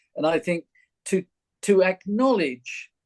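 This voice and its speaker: With a southern English accent, a man talks at a high pitch and fairly slow pace with lively intonation, in a dry, close sound with no echo. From London. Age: 70s. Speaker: retired actor and teacher. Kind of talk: interview. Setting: recorded podcast.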